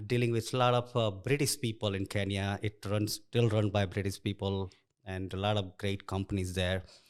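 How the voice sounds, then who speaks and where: Someone with an Indian accent talks at a moderate pace on a very clean recording with a silent background. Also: man. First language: Indian language. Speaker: construction executive. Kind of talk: interview. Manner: casual.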